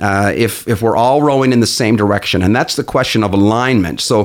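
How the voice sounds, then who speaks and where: An unremarkable speaking voice moves at a moderate pace with a Canadian accent. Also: man. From Newfoundland, Canada. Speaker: business coach. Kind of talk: interview.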